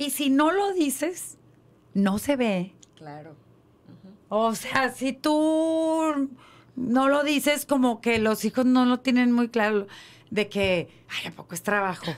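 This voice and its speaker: Speaking very slowly in a high voice, a woman swings widely in pitch and loudness. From Mexico. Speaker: podcast co-host. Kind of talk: casual chat. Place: studio. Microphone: studio mic.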